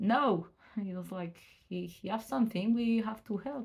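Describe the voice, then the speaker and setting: A woman with vocal fry, fairly high pitch and a moderate pace. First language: French. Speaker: student of psychomotricity. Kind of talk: casual vlog explanation. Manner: halting, many fillers and restarts.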